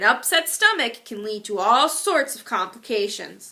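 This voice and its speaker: Doing a put-on character voice, a woman speaks at a high pitch and a moderate pace. Her pitch swings very widely and her loudness shifts in big swings. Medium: read story. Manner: prim, reproving.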